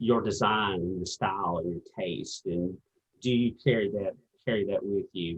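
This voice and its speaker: A man speaks at a fairly slow pace with a Virginia accent. His pitch is fairly low. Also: ordinary pitch variation. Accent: Southern US (Virginia). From US South, southwest Virginia coal fields. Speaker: interviewer, sewing channel host. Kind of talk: interview conversation.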